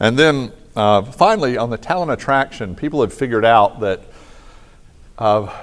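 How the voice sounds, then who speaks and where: A man speaks in a plain, everyday voice at a medium pitch. He keeps a moderate pace with lively intonation. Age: 60s. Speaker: economic consultant and conference speaker. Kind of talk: conference keynote talk. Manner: casual, conversational.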